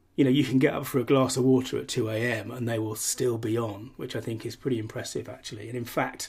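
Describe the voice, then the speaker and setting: A man talks at a fairly quick pace with a medium pitch. His intonation is fairly even and his voice somewhat breathy. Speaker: podcast host. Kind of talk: solo podcast monologue.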